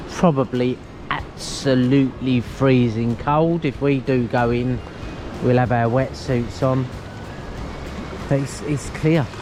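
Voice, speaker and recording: In an Essex accent, the speaker goes at a very slow pace with long, frequent pauses over music in the background. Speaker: travel vlogger. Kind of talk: casual vlog narration. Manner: animated.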